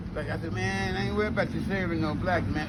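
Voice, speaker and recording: There is noticeable background noise and audible room echo as a man talks at a very fast pace. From Texas (Palestine, East Texas). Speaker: elder storyteller. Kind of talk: casual chat. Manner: animated; repetitive, stammering.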